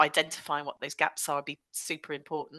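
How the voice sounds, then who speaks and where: A woman with a Bristolian accent and a bright, sharp tone at a fairly quick pace, in a dry, close sound with no echo. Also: quiet background. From West Country England, Bristol. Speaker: digital transformation consultant. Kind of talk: podcast interview.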